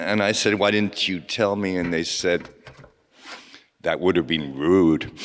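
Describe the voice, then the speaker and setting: Intonation stays fairly even in this man's speech. His pitch is very deep and low. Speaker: poet. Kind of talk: poetry reading. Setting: stage with audience. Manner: halting.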